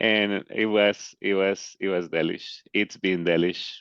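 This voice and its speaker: The recording is dry and close with no echo and a quiet background, carrying a man's very deep, low voice. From Colombia. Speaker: participant in a memorial call. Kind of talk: memorial tribute. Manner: halting, many repetitions.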